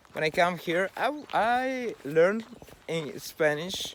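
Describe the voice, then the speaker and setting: Against noticeable background noise, a man with a non-native accent speaks with lively intonation. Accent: non-native English speaker. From Russia or Ukraine. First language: Russian. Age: 40s. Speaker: video blogger. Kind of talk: personal monologue. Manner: halting.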